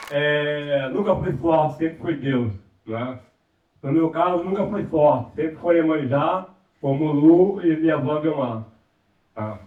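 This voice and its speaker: A man with a fairly high voice and ordinary pitch variation talks fairly slowly, leaving long, frequent pauses. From Rio de Janeiro. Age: 60s. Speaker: community resident. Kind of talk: panel debate contribution. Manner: halting.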